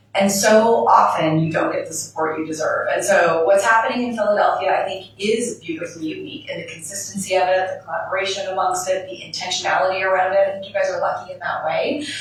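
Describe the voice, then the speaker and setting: A woman of medium pitch talks at a very fast pace with hardly any pauses, ordinary pitch variation and big swings in loudness. Noticeable background noise and audible room echo are present. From Canada. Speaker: business owner, panelist. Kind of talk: panel discussion.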